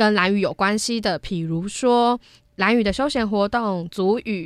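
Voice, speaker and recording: A plain, everyday voice at a fairly slow pace with ordinary pitch variation, on a very clean recording with a silent background. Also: woman. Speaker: university broadcasting student. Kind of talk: casual interview chat. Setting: studio.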